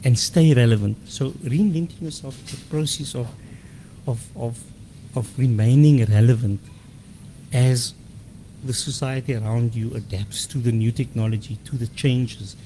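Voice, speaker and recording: A somewhat breathy man with a medium pitch, a dark, mellow tone and ordinary pitch variation, at a moderate pace with long, frequent pauses. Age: 60s. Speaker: interview guest. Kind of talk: radio interview. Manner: hesitant with fillers and repetitions.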